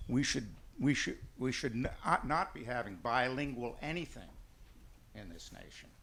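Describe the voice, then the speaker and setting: This man has a medium pitch. He talks at a fairly slow pace. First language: Armenian. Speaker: audience member asking a question. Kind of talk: audience question.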